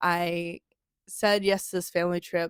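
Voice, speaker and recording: Mumbling, a woman is heard in a dry, close sound with no echo. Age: adult. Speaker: vlogger. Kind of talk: casual recap to camera.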